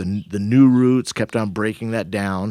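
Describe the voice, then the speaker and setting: A man with an unremarkable speaking voice, ordinary pitch variation and a moderate pace, in a dry, close recording with no echo, very clean with a silent background. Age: 60s. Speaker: veteran rock climber. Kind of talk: podcast interview. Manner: relaxed, conversational.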